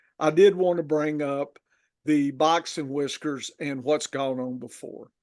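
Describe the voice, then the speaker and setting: A man with a Southern accent talks at a fairly slow pace and a fairly high pitch. His intonation is fairly even, with big swings in loudness. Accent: Southern, Texas-like drawl. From northern Louisiana. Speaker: fantasy football podcast host. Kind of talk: casual podcast chat. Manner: halting, with many fillers.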